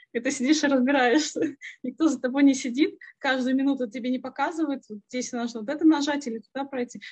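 This is a woman speaking. Her pitch is high. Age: 30s. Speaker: former accountant turned programmer. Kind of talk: interview.

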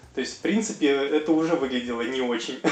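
A man's voice, fairly high in pitch. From Russia, Chelyabinsk and Astrakhan regions. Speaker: yoga teacher and massage therapist. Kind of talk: interview.

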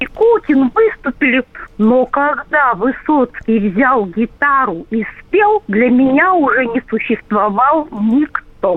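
A woman's voice, high in pitch, its pitch swinging very widely. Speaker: radio caller. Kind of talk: phone-in reminiscence. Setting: phone call.

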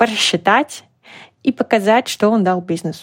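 The recording is dry and close, with no echo. A woman talks at a fairly slow pace. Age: 40s. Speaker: business coach and recruiting agency founder. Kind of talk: casual interview. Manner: animated.

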